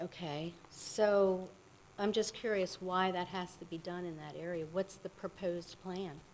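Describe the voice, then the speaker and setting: The delivery is fairly slow, with monotone, flat intonation. Loudness swings widely. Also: woman, medium pitch for a woman. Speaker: resident making public comment. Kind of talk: public comment at township meeting. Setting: township meeting room with microphone.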